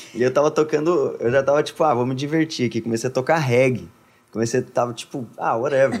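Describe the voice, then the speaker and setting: A man speaks at a medium pitch. He has an ordinary speaking voice. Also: ordinary pitch variation, fairly quick pace. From Brazil, Minas Gerais (Contagem). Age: 20s. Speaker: worship singer. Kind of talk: casual chat.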